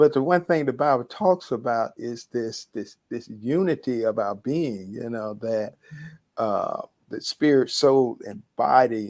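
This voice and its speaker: A man with an American accent speaks at a very slow pace, medium in pitch, with ordinary pitch variation. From US South, Atlanta, Georgia. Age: 60s. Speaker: university dean and academic. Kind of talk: talk show interview. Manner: repeats words, halting starts.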